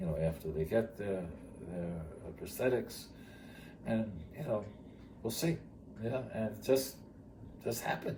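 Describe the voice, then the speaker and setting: A man with an American accent speaks at a moderate pace and fairly low pitch, his tone dark and mellow with vocal fry and lively intonation. He leaves long, frequent pauses, and the room echo is audible. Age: 70s. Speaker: retired teacher and charity founder. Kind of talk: interview storytelling. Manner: halting.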